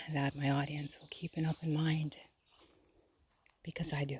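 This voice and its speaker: A woman's very deep, low voice at a moderate pace, monotone and flat, somewhat breathy, with a dark, mellow tone and a dry, close sound with no echo. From Poland. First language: Polish. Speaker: lifestyle vlogger. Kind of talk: personal monologue to camera. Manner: hesitant, many fillers.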